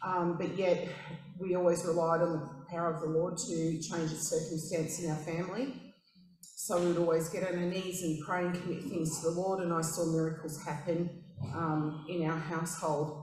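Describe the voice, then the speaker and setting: In an Australian accent, a woman with a fairly low pitch speaks in a flat monotone at a moderate pace, with noticeable background noise and audible room echo. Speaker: church member. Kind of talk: testimony. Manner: halting, many fillers.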